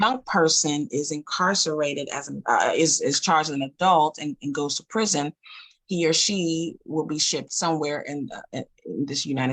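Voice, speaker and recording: A woman with an American accent speaks in a very deep, low voice with ordinary pitch variation. The sound is dry and close, with no echo. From Queens, New York. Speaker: poet and social worker. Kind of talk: interview. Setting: radio show.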